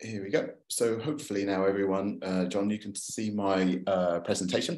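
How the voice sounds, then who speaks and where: With a London accent, a man talks at a moderate pace in a fairly low pitch, his pitch varying in an ordinary way. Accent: British (London). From London, England. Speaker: photographer and author giving a talk. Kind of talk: presentation to a club. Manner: hesitant, many fillers.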